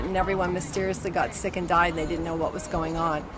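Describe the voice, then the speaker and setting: With audible room echo and noticeable background noise, a woman in an American accent talks at a very fast pace. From San Francisco, California. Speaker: protester. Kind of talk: street interview. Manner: halting, many fillers.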